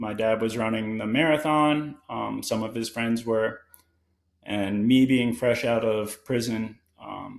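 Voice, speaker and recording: A man with a plain, everyday voice and an American accent, medium in pitch, fairly slow, with fairly even intonation. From Connecticut. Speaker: guest in recovery from addiction, distance runner. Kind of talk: casual interview conversation.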